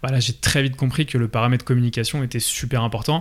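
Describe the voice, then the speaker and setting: A normal speaking voice from a man, medium pitch and fairly even intonation, on a very clean recording with a silent background. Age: 20s. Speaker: fitness coach and content creator. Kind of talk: casual interview. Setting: at the guest's home.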